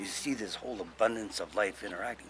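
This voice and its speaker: With a Hawaiian accent, a man speaks at medium pitch and a moderate pace. Noticeable background noise can be heard. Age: 60s. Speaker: Hawaiian cultural elder. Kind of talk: talk on culture. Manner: casual, with many fillers.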